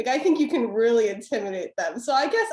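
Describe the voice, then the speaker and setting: Animated and fairly high-pitched, a woman in an American accent speaks with ordinary pitch variation. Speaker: former debate champion and debate instructor. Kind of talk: webinar panel discussion.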